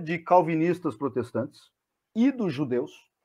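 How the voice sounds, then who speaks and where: Against a quiet background, a man speaks fairly slowly in a high pitch, with a dark, mellow tone and lively intonation. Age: 40s. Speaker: history teacher; history channel host or guest. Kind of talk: casual chat. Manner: halting. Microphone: video call.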